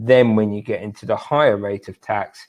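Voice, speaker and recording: Here a man speaks with a British accent. His pitch is fairly low. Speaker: tax specialist. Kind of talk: webinar presentation. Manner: fast.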